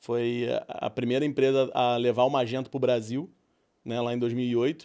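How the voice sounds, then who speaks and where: On a very clean recording with a silent background, a man talks at a moderate pace and medium pitch with a dark, mellow tone, monotone with flat intonation. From Brazil, Rio de Janeiro. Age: 40s. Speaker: entrepreneur. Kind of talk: podcast interview.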